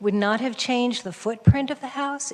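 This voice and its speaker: Against noticeable background noise, a woman speaks in a fairly high voice. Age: 60s. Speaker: public commenter, homeowner. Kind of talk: public comment at a council meeting. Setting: city planning commission meeting.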